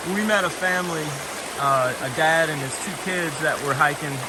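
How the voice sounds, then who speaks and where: Soft-spoken, a man talks at a fairly high pitch. The room echo is audible and background noise is noticeable. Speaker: long-distance hiker vlogger. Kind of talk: casual vlog narration. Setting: outdoors on a hiking trail.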